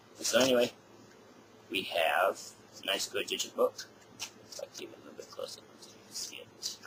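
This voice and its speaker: Loudness swings widely as a man talks at a fairly quick pace amid noticeable background noise. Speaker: music collector video blogger. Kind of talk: casual product review. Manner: hesitant, many fillers.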